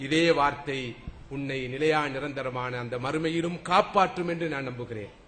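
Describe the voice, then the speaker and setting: The delivery is animated, with ordinary pitch variation. Noticeable background noise runs underneath. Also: man, fairly high pitch for a man. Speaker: Islamic preacher giving a lecture. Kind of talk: religious sermon (bayan) to an audience. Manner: animated, oratorical, rhetorical questions.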